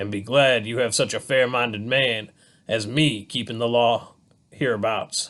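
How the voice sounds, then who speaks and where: Using a put-on character voice, a man speaks at medium pitch with fairly even intonation. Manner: loud, condescending.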